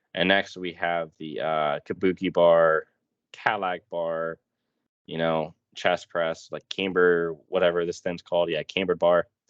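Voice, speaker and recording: A man speaks fairly slowly in a very deep, low voice with monotone, flat intonation. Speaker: fitness youtuber, powerlifter. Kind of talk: casual tutorial, ranking commentary. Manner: casual, many fillers (um, uh).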